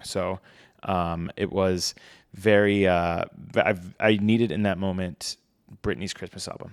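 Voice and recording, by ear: On a very clean recording with a silent background, a man speaks slowly in a low pitch with fairly even intonation.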